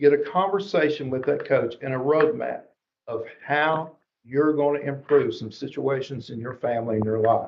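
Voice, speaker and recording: A man speaks with an American accent. His pitch sits fairly high, with ordinary rise and fall. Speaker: education presenter. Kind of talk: presentation to school board. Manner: fast; animated.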